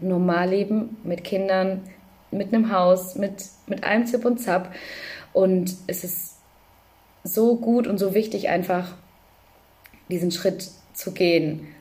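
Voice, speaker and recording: A woman speaks at a medium pitch with ordinary pitch variation. Her somewhat breathy voice has a dark, mellow tone. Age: 20s. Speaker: social worker and mother with OCD. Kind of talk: personal testimony in interview.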